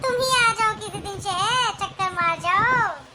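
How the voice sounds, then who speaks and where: A woman puts on a squeaky, cartoonish character voice at an extremely high pitch, speaking at a moderate pace over light background noise. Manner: chatty, laughing.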